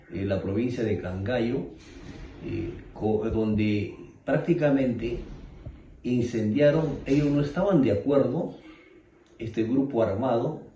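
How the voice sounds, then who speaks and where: Amid audible room echo and noticeable background noise, the speaker talks at a very slow pace with long, frequent pauses and lively intonation. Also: man, medium pitch for a man. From Ayacucho, Peru. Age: 60s. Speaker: witness of armed conflict. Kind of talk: testimony. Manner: hesitant, many fillers.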